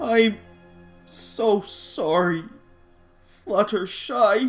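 A female-sounding voice puts on a character at a fairly high pitch. Faint music can be heard in the background.

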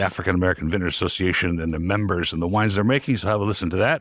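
The recording has a dry sound with no echo and a quiet background. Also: man. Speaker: podcast host. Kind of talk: podcast intro and ad read. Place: studio. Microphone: studio mic.

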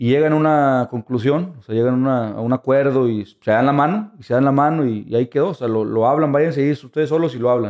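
Against a quiet background, a man speaks fairly quickly at a fairly high pitch with ordinary pitch variation. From Monterrey, Mexico; Mexico. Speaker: photojournalist and documentary filmmaker; photojournalist. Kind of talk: interview. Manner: halting. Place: studio.

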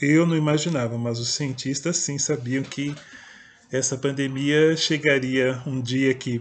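A man at a fairly slow pace with a fairly high pitch. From interior of São Paulo state, Brazil. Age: 50s. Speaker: poet and writer, video blogger; poet, video blogger. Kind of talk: personal storytelling monologue. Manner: hesitant, with fillers. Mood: calm, reflective. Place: home room. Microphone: webcam.

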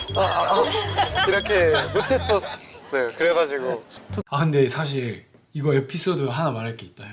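Music plays in the background as the speech moves at a fairly slow pace. Both pitch and loudness swing widely. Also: man, fairly high pitch for a man. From South Jeolla, Korea. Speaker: K-pop idol singer. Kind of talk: casual talk on variety and fan content.

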